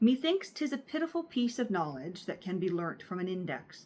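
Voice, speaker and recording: A woman's medium-pitched voice with a Canadian accent. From Canada. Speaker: book reader, channel host. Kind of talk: reading aloud; casual commentary. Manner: halting, many filler uhs.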